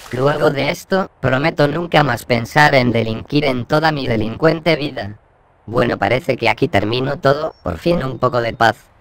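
A man in a put-on character voice sounds whiny, speaking at a medium pitch and a moderate pace with ordinary pitch variation. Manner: whiny, fed up.

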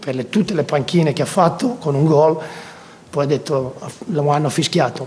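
A man with a fairly high pitch at a moderate pace. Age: 50s. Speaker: football coach. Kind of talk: post-match press conference; press conference answer. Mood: passionate, proud after the match. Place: hall. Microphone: podium.

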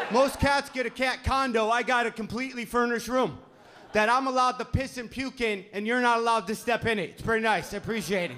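A man speaks in an extremely high pitch at a fairly quick pace. His intonation is fairly even, with light background noise. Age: 40s. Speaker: stand-up comedian. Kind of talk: stand-up. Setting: stage with audience. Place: stage. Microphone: handheld.

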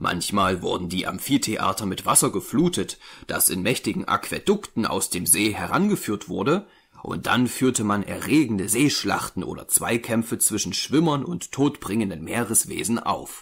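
A man speaks in a solemn tone at a medium pitch. His pitch swings very widely. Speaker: audiobook narrator. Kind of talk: scripted narration, dramatic reading aloud of a horror tale. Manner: solemn, slow, ominous, building dread with an archaic storytelling cadence; formal, measured, grave.

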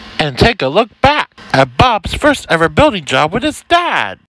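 The speaker goes at a very slow pace with very wide pitch swings, on a very clean recording with a silent background and a dry, close sound with no echo. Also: man. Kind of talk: movie trailer.

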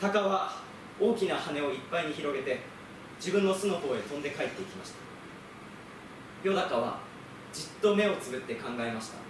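A man with a high pitch speaks at a fairly quick pace with lively intonation, big swings in loudness and long, frequent pauses, amid noticeable background noise and audible room echo. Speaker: theatre company actor; theatre actor doing a reading. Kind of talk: literary reading, storytelling narration. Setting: group reading recital. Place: stage. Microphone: camera far.

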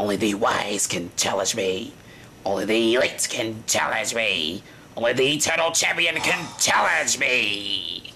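A man's put-on character voice at medium pitch, with clear background noise. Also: moderate pace. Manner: menacing, grandiose.

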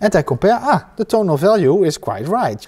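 This man has a high-pitched voice. His pitch swings very widely. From Netherlands. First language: Dutch. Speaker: painting teacher. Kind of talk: tutorial. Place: workshop.

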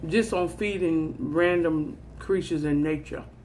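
A woman speaks at a fairly low pitch. Light background noise can be heard. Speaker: eating vlogger. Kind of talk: casual vlog chat. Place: office. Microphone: phone near.

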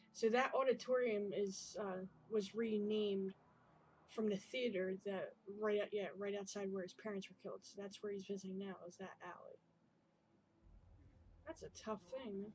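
A somewhat breathy woman's voice at a moderate pace, with fairly even intonation, long, frequent pauses and light background noise. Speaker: gamer. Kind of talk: let's play commentary. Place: home room.

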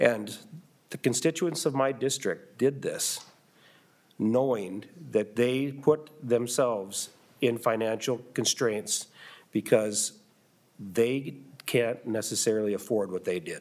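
A man with an American accent speaks at a very slow pace. He takes long, frequent pauses, with ordinary pitch variation. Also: medium pitch for a man. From US Midwest. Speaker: school superintendent. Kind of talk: legislative testimony. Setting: committee hearing room. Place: hall. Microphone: podium.

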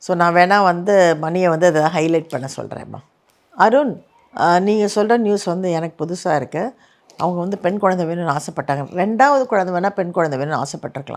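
A plain, everyday voice with lively intonation. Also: woman, fairly low pitch for a woman. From Chennai, India. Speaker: actress and YouTube host. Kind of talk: comment reply monologue. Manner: casual conversational.

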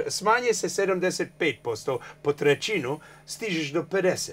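A man with an English accent speaks at a high pitch. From Canada, New Brunswick. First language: English (speaking Croatian). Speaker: journalist and political activist; journalist. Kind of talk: TV interview. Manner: halting. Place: studio. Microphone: lapel.

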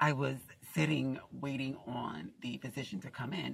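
A woman's very deep, low voice with vocal fry and a dry sound with no echo. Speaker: vlogger. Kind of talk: casual vlog chat, storytelling. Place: car. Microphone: phone near.

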